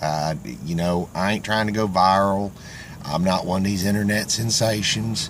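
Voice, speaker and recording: With a Southern US accent, a man speaks at a moderate pace and a fairly low pitch. His intonation is fairly even and his loudness very even. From Florida. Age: old. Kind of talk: casual talk to camera. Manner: earnest, heartfelt.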